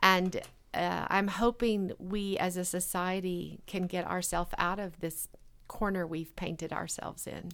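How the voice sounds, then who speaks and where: A woman talks at a fairly slow pace in a medium pitch. Her intonation is monotone and flat, on a very clean recording with a silent background. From rural northwest Arkansas. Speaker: retired CEO and cafe owner. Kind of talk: casual interview conversation.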